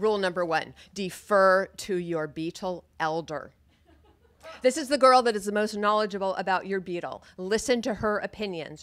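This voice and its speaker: The speech goes at a moderate pace. Its pitch varies in an ordinary way. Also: woman, medium pitch for a woman. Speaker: storyteller. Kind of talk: live storytelling performance. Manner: humorous.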